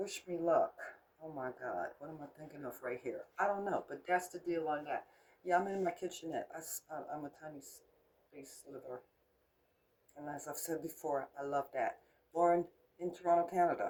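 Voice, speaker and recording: A woman with an American accent uses an ordinary speaking voice, fairly low in pitch, at a moderate pace with fairly even intonation and big swings in loudness. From United States. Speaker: crafts vlogger. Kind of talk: casual tutorial. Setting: home kitchenette. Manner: unscripted, chatty.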